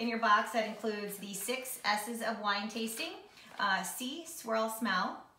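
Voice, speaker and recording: Over light background noise and with audible room echo, a woman talks at a moderate pace. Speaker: wine tasting vlogger. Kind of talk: casual vlog chat. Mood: cheerful, relaxed. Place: home room. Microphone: camera far.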